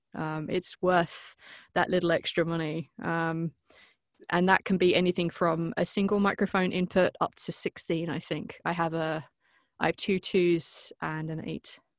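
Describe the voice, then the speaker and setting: The woman has a cheerful tone, a fairly low pitch and monotone, flat intonation, captured on a very clean recording with a silent background. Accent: British. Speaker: voice actress and podcast producer. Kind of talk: interview. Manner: cheerful, laughs often.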